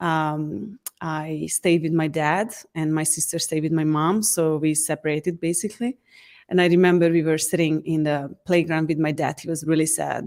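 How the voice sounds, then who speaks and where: Recorded very cleanly with a silent background, a woman speaks at a moderate pace in a very deep, low voice with fairly even intonation. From Hungary. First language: Hungarian. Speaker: certified facilitator. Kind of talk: interview.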